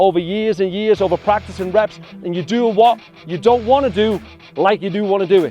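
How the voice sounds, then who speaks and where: The speaker has a Scouse accent. Music plays in the background. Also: man. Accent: Scouse (Liverpool English). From England. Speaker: youth soccer coach. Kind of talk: motivational speech to a youth team.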